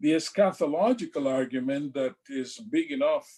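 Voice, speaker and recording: A man at a fairly high pitch and moderate pace, his pitch swinging very widely. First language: French. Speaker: church leader giving a presentation. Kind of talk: lecture.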